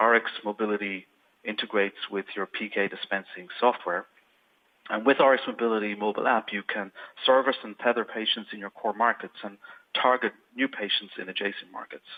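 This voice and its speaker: A man with an Irish accent talks at a fairly quick pace and a fairly low pitch. His intonation is fairly even, but his loudness swings a lot. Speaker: software company presenter. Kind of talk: webinar product presentation. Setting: online webinar. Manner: hesitant, with fillers.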